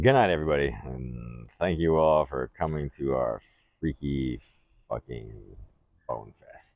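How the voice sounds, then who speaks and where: A man with a very deep, low voice talks with long, frequent pauses and big swings in loudness. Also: ordinary pitch variation, fairly slow pace. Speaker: podcast host. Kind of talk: casual chat. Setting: outdoors on deck.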